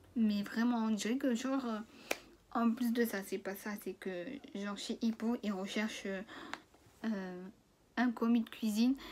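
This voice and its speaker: The speech is fairly slow and fairly even in intonation, broken by long, frequent pauses. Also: woman, fairly high pitch for a woman. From France. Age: 20s. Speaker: cooking trainee. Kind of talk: casual story time to camera. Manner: casual, hesitant.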